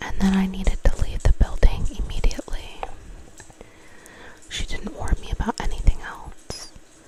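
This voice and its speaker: Someone whispers over noticeable background noise. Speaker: ASMR creator. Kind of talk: horror story narration, ASMR reading. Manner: whispered, soft.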